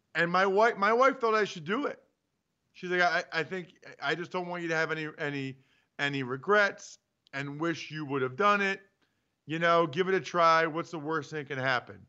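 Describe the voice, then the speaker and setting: This man has an American accent and a high pitch. His tone is animated, with ordinary pitch variation. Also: moderate pace. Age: 40s. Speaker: sports radio host, former pro football lineman. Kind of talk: casual sports talk show.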